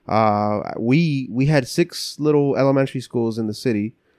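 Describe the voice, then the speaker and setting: Over a quiet background, a man with an American accent talks in an unremarkable speaking voice, at medium pitch with ordinary pitch variation. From New Jersey, Cuban building, Colombian family. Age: 30s. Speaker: community nonprofit leader. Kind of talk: casual chat.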